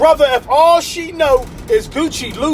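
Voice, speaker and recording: An animated-sounding man with ordinary pitch variation, over noticeable background noise. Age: 50s. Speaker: motivational speaker. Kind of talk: motivational talk. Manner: repetitive stammering.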